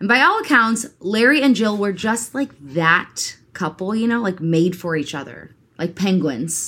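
Animated, bright and sharp tone at a fairly slow pace. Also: woman, medium pitch for a woman, lively intonation. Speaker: true crime podcast host. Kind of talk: true crime storytelling with casual banter. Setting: studio recording with co-host partner.

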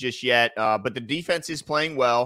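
A man at a moderate pace, with an angry tone and a bright, sharp tone. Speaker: sports talk show co-host. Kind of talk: heated debate. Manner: angry, loud, ranting.

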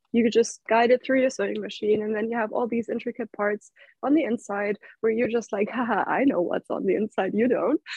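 A woman with a German accent speaks fairly quickly at a fairly high pitch with fairly even intonation. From Germany. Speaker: pattern maker and YouTuber.

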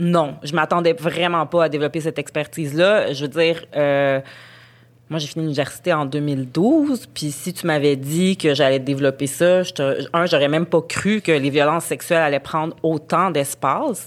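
This woman's very deep, low voice holds a fairly even intonation. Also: moderate pace. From Montreal, Quebec. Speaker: journalist. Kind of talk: casual interview conversation.

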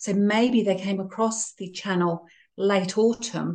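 Over a quiet background, a woman's somewhat breathy voice keeps a fairly even intonation. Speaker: beekeeper. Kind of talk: interview.

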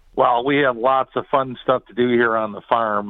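An American accent marks this man's ordinary speaking voice as he talks at a fairly slow pace. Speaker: cider mill operator. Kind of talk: interview.

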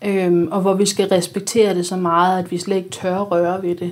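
Fairly slow delivery in an unremarkable speaking voice. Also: woman. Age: 30s. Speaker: blogger. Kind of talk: casual chat.

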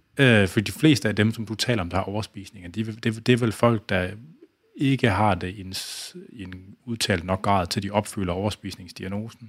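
A man with a fairly low pitch talks at a moderate pace, his intonation fairly even but his loudness swinging widely. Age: 40s. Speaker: podcast host and fitness expert. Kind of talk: casual interview chat. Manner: halting, many fillers.

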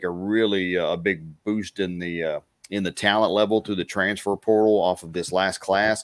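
In a very clean recording with a silent background, a man with a very deep, low pitch talks at a moderate pace in a monotone, flat intonation, the sound dry and close with no echo. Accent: Texan. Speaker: play-by-play announcer. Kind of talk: sports commentary.

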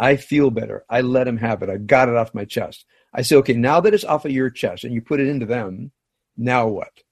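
Here a man with an unremarkable speaking voice talks at a fairly quick pace with ordinary pitch variation. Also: medium pitch for a man. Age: 60s. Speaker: rabbi. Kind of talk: casual interview. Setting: home.

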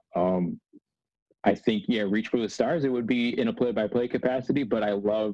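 A man with an ordinary speaking voice and an American accent, medium pitch, ordinary pitch variation and a fairly quick pace. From Northern New Jersey. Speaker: sports broadcaster. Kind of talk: casual interview chat.

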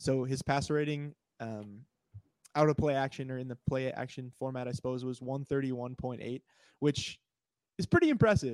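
On a very clean recording with a silent background and a dry, close sound with no echo, a man talks at medium pitch and a moderate pace, with fairly even intonation and long, frequent pauses. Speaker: fantasy football analyst. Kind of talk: casual chat.

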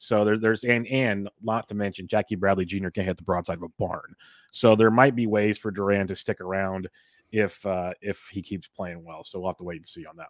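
In a normal speaking voice, a man with a fairly low pitch talks at a fairly quick pace, his intonation fairly even but his loudness swinging widely, in a dry, close sound with no echo. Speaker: podcast host. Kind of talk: casual sports podcast chat. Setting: remote recording.

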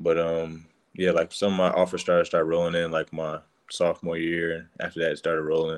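A man's very deep, low voice with an American accent, monotone, flat intonation and a fairly quick pace. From Denver, Colorado. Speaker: college basketball player. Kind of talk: casual interview.

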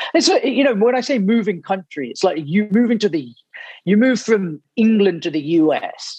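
The speaker has an English accent and a moderate pace. Pitch swings very widely while loudness stays very even. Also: man, high pitch for a man. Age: 30s. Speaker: author. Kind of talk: interview.

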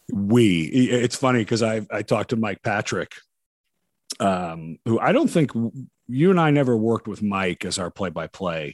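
A man with an ordinary speaking voice talks at a moderate pace and fairly low pitch, his intonation lively. The recording is very clean with a silent background, and the sound is dry and close with no echo. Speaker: podcast host. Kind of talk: casual interview conversation.

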